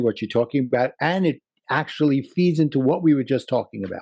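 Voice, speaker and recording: Recorded very cleanly with a silent background, a man speaks in a Brooklyn accent. His fairly high voice has a dark, mellow tone and lively intonation. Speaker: life coach. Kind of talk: interview.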